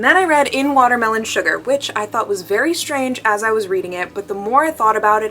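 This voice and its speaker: Noticeable background noise sits under a woman's voice. She talks at a very fast pace in an animated tone. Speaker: book vlogger. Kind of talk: casual vlog talking to camera. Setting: in bed at night. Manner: animated, filler-heavy with um and like.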